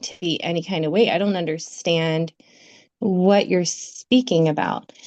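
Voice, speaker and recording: At a very slow pace, a woman speaks with an intense tone at a medium pitch. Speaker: spiritual healing live stream co-host. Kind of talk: casual chat. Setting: live stream.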